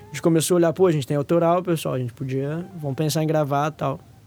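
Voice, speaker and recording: Over music in the background, a man talks with ordinary pitch variation. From Brazil, São Paulo state interior (Araraquara). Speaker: guitarist in a choro band. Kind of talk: casual interview chat.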